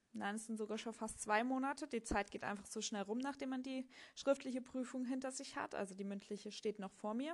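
A woman with a normal speaking voice talks at a fairly quick pace in a fairly high pitch, with ordinary pitch variation. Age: 30s. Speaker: podcast host, tax adviser exam candidate. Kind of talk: solo monologue. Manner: casual with frequent fillers.

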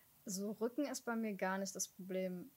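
A somewhat breathy voice at a moderate pace, with fairly even intonation. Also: woman. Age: 20s. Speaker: podcast co-host. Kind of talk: casual chat.

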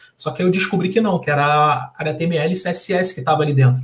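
A man with a Carioca accent talks at a fairly high pitch and a moderate pace, with ordinary pitch variation. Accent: carioca Brazilian Portuguese. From Rio de Janeiro, Brazil. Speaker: software developer and social entrepreneur. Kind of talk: interview. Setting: live stream.

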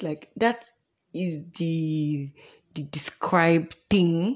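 A woman with a Nigerian accent speaks at a fairly low pitch. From Imo State, Nigeria. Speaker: podcast host, law student. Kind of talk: solo podcast monologue, casual. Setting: home recording, Kaduna. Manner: talkative, deliberately paced not too fast or slow.

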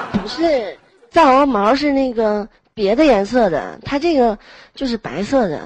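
A woman with an unremarkable speaking voice talks at a fairly slow pace, her fairly high pitch moving in lively intonation. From Heilongjiang, northeast China. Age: 20s. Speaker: manual worker. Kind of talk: casual chat. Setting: online voice chat room.

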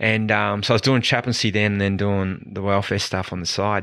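A man's fairly low voice with a bright, sharp tone at a fairly quick pace. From New Zealand. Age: 40s. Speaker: pastor and sports chaplain. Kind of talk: casual interview chat.

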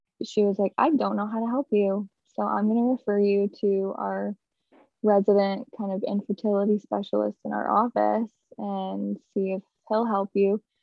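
A plain, everyday voice with an American accent, at a fairly slow pace. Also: woman. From upstate New York. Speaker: stay-at-home mom sharing endometriosis story. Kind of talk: interview testimony.

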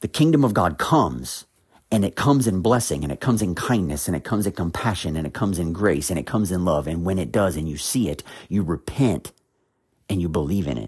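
A man's very deep, low voice with vocal fry and very wide pitch swings, at a very fast pace, in a very clean recording with a silent background. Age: 40s. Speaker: podcast host, Bible teacher. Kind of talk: Bible teaching monologue.

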